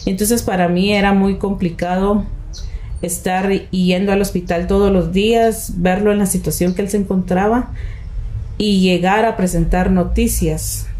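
Over noticeable background noise and audible room echo, a woman speaks at a moderate pace with a medium pitch and monotone, flat intonation. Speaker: radio announcer. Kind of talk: interview.

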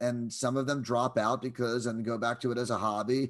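Against a quiet background, a man speaks at a moderate pace and medium pitch. He has a normal speaking voice. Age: 50s. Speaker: music photographer. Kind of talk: interview.

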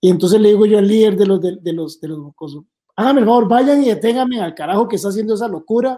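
A man speaks in a dark, mellow tone at a high pitch. His pace is fairly quick, and his pitch varies in an ordinary way. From Costa Rica, Puntarenas. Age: 50s. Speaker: former security official. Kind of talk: casual interview. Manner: halting, repetitive.

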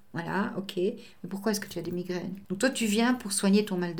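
A woman's somewhat breathy voice, dark and mellow in tone, with fairly even intonation. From Belgium. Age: old. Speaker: medium and translator. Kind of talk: interview.

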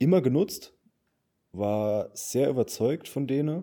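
In a very clean recording with a silent background, a man with a Saarland accent and a dark, mellow tone speaks at a fairly slow pace. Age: 20s. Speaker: podcast co-host. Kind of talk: casual chat.

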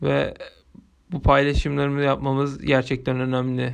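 This man's voice sits fairly high, and he talks at a fairly slow pace. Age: 20s. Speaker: university student podcaster. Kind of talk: solo monologue podcast. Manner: halting.

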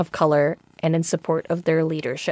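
A woman in a Chicago accent speaks in an animated tone, with a dry, close sound and no echo. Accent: general American, Chicago. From Chicago, US. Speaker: podcast host. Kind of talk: casual chat, podcast conversation. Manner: animated, laughs often.

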